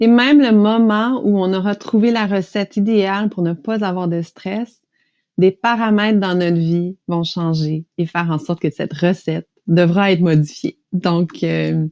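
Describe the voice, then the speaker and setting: Speaking fairly slowly with a Quebec accent, a woman has a dark, mellow tone and ordinary pitch variation, and the sound is dry and close with no echo. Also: medium pitch for a woman. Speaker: stress management practitioner, hypnosis guide. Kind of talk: interview, explanatory.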